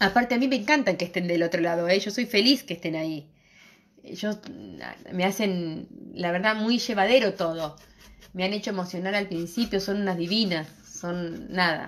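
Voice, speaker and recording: Pitch moves in an ordinary way as a woman talks. She keeps to a moderate speed. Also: medium pitch for a woman. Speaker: craft and decorative painting teacher; decorative painting teacher. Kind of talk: live streamed craft tutorial. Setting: live stream on social media. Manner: animated, talkative. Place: shop. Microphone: phone near.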